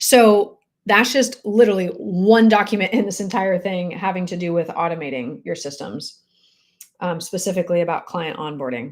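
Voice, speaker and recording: A woman's fairly low voice shows ordinary pitch variation. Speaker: real estate coach. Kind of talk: live stream coaching chat. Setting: live video stream. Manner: fast; animated.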